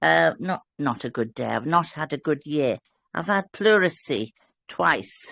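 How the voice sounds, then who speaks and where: A woman with a British accent speaks at a fairly slow pace in a bright, sharp tone with vocal fry. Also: dry, close sound with no echo. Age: old. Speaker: fellowship participant. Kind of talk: casual chat.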